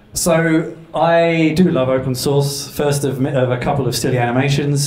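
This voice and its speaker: A man's speech, with ordinary pitch variation, carries audible room echo and noticeable background noise. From London, England. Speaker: developer advocate. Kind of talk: tech talk. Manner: casual, with filler words.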